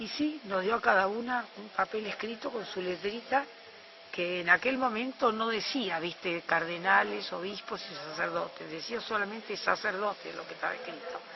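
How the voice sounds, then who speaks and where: Speaking at a moderate pace in a Rioplatense accent, a woman's loudness swings widely against noticeable background noise. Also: medium pitch for a woman, ordinary pitch variation. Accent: Argentine Rioplatense Spanish. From Argentina, Buenos Aires. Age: 60s. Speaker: eyewitness. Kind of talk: testimony.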